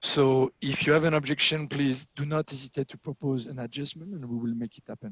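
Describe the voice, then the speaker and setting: A man with a strong French accent talks at a fairly quick pace with hardly any pauses, his pitch fairly high with ordinary variation. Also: big swings in loudness. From France. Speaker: agile coach and meetup facilitator. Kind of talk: online meetup presentation.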